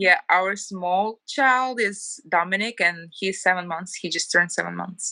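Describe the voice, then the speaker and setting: Speaking in a Ukrainian accent, a woman with a medium pitch and a bright, sharp tone keeps a fairly slow pace with hardly any pauses. Her pitch varies in an ordinary way, and the recording is very clean with a silent background. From Ukraine. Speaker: homemaker, former TV journalist. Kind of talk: casual interview.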